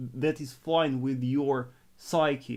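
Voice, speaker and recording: On a very clean recording with a silent background, a man with a Russian accent speaks at a medium pitch with ordinary pitch variation. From northern Russia. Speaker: forex trader and trading coach. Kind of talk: live stream trading analysis and Q&A. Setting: live stream. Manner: halting, frequent repetitions.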